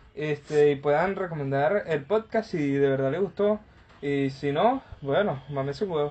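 A man talks in a normal speaking voice at a fairly slow pace. His fairly high pitch shows ordinary pitch variation. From Venezuela. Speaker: podcast host. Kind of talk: casual chat.

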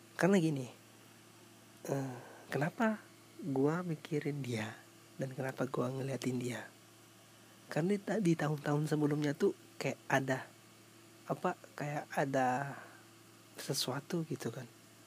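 A man speaks at a fairly slow pace, leaving long, frequent pauses. His voice is somewhat breathy, with ordinary pitch variation. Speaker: podcaster. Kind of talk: casual solo storytelling. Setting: at home before sleep. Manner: halting, many fillers.

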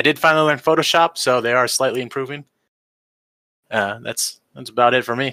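A man of medium pitch talks at a fairly quick pace with fairly even intonation, a bright, sharp tone and long, frequent pauses. The recording is very clean with a silent background and a dry, close sound with no echo. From Michigan. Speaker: podcast host. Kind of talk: casual chat.

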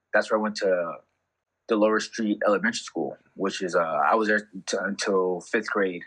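A man with an American accent has a fairly low, unremarkable speaking voice and ordinary pitch variation. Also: moderate pace. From California and Ensenada, Mexico. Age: 30s. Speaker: podcast guest, blind man. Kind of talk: casual chat.

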